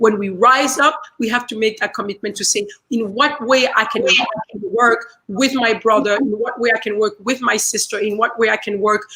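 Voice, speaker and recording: A woman with a French accent speaks with ordinary pitch variation. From Central Africa, former Belgian colony. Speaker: speaker at online community event. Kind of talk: speech. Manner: repetitive, halting with fillers.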